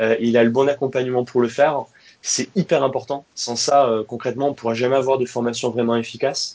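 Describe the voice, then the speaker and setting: Speaking at a fairly quick pace, a man has a normal speaking voice, a medium pitch and fairly even intonation. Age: 30s. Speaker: training company founder. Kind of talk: interview.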